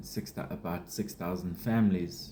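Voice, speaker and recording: A man's dark, mellow tone at a very slow pace. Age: 40s. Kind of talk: casual unscripted talk to camera. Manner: rambling, hesitant.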